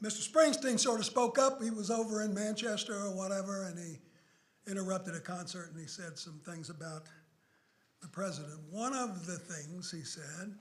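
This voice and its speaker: A man with a high pitch speaks at a moderate pace with lively intonation and big swings in loudness, with audible room echo. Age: 70s. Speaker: law professor. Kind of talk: public lecture. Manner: animated.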